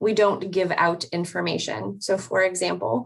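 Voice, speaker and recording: Her pitch fairly low and her intonation fairly even, a woman talks in a normal speaking voice. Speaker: mobile crisis clinician. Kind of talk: panel presentation.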